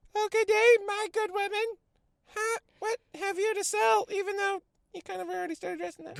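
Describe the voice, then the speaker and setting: Putting on a character voice, a man goes squeaky and extremely high-pitched. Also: fairly quick pace. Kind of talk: comic overacting. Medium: read story.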